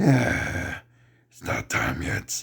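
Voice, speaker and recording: A man puts on a raspy character voice at a medium pitch. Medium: read story. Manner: menacing.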